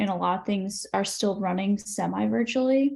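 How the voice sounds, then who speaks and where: A soft-spoken woman with a somewhat breathy, dark, mellow tone talks at a medium pitch against a quiet background. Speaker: public health graduate. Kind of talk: panel discussion.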